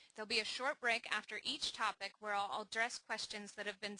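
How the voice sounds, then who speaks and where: A woman talks at a fairly high pitch and a fairly quick pace in a bright, sharp tone, the sound dry and close with no echo. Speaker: scientist giving a software demonstration. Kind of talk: webinar presentation. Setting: online webinar. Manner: not loud; formal. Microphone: may be quiet.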